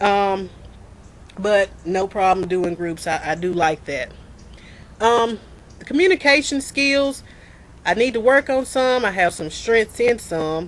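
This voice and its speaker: A woman with a Mississippi accent speaks at a fairly slow pace. Her pitch is medium and varies in an ordinary way. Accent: US Southern, Mississippi. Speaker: student. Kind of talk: self-introduction video. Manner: loud, clear pronunciation; halting, repeats words.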